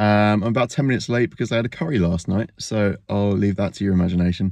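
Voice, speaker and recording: A man talks at a very fast pace. The sound is dry with no echo, and the background is quiet. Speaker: reseller vlogger. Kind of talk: casual vlog chat. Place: car. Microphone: phone near.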